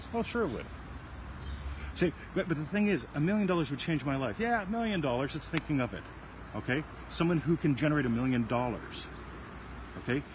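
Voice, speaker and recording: A man's fairly high, somewhat breathy voice at a fairly quick pace, with very wide pitch swings and long, frequent pauses. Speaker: self-help video show host. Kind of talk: casual chat. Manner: fast.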